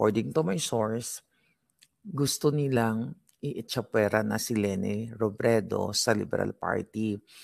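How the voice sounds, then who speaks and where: A man's medium-pitched voice at a very slow pace. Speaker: political commentary vlogger. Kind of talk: casual political commentary. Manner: lowered, quieter voice.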